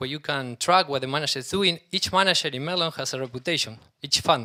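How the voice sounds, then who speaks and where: With a bright, sharp tone, a man speaks at a fairly quick pace and fairly high pitch, with ordinary pitch variation. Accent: Spanish. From Argentina. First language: Spanish. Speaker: startup CEO. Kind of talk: conference talk. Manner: halting.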